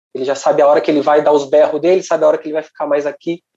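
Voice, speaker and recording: A man with a dark, mellow tone. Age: 30s. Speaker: rock singer in a tribute band. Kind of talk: casual interview chat. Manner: halting.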